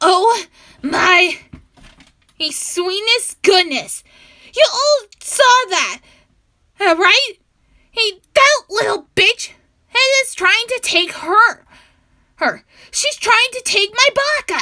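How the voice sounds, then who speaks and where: A woman's put-on character voice, extremely high-pitched and very slow, with long, frequent pauses. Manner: creepy, hysterical.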